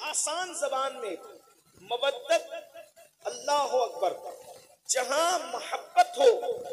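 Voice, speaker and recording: A man's passionate tone at an extremely high pitch, with very wide pitch swings. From India. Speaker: Islamic preacher. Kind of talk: religious sermon at a public gathering. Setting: public gathering, recorded live. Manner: passionate, emotional, oratorical.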